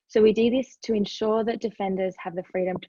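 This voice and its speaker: This woman talks very fast in an Australian accent, keeping her intonation fairly even. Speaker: human rights NGO advocate. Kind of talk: webinar presentation. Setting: online webinar.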